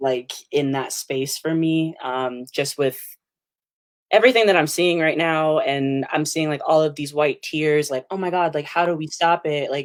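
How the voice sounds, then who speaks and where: A woman with an American accent speaks in a very deep, low pitch at a moderate pace. The recording is very clean, with a silent background. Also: ordinary pitch variation. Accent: New Jersey, sometimes. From New Jersey. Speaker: poet. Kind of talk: spoken word poetry reading.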